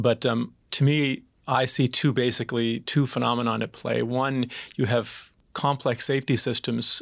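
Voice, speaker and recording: Vocal fry runs through a man's medium-pitched voice, delivered with monotone, flat intonation. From Atlantic Canada (PEI and Newfoundland). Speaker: crown prosecutor. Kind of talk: panel discussion.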